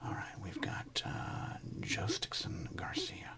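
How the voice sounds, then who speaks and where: A man is whispering in a relaxed tone. Noticeable background noise runs behind him. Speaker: sports card ASMR host and comedian. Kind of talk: soft-spoken ASMR card-collecting talk. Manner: soft-spoken, relaxed, humorous.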